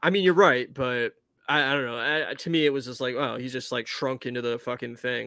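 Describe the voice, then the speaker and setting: A man's medium-pitched voice with vocal fry, bright and sharp in tone, at a fairly quick pace with fairly even intonation, dry and close with no echo, on a very clean recording with a silent background. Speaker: podcast co-host. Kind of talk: casual chat.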